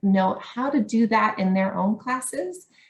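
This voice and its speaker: In a Canadian accent, a woman speaks at a fairly slow pace in a somewhat breathy voice with ordinary pitch variation. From Canada. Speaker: education academic. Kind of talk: conference talk. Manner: hesitant with fillers.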